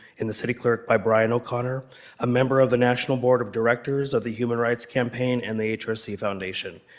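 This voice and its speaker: Noticeable background noise sits behind a man's voice. He speaks at medium pitch with fairly even intonation. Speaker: public commenter at city council meeting. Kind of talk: public comment speech. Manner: formal.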